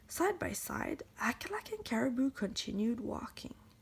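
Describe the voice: At a moderate pace, a woman speaks with a fairly high pitch, big pitch swings and vocal fry.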